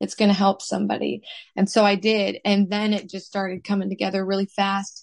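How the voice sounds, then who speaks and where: Fairly quick and monotone, with flat intonation, a woman speaks at a medium pitch with an American accent. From US Midwest, Minnesota. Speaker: author, singer and evangelist's wife. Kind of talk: casual interview chat.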